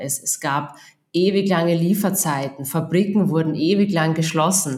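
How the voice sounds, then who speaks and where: A woman with an Austrian accent speaks at a very deep, low pitch, her intonation fairly even. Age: 40s. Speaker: procurement agency founder. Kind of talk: podcast interview.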